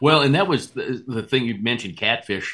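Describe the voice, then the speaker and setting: Against a quiet background, a man with an American accent talks at a fairly quick pace, his medium-pitched voice bright and sharp in tone, with lively intonation. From North Dakota, US (Rugby). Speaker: radio host. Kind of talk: casual chat.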